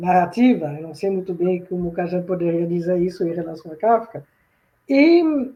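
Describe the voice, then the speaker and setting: A woman's dark, mellow, fairly low-pitched voice at a moderate pace, with ordinary pitch variation and big swings in loudness. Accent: Swiss French. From Switzerland. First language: French (speaking Portuguese). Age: old. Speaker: professor. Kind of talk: lecture. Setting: video call.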